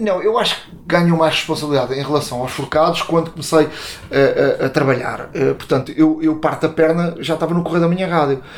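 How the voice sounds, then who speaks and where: Noticeable background noise accompanies a man at a fairly high pitch. He speaks at a very fast pace with fairly even intonation. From Portugal, Montijo. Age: 50s. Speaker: sports journalist. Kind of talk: interview. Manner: halting, many fillers and repetitions.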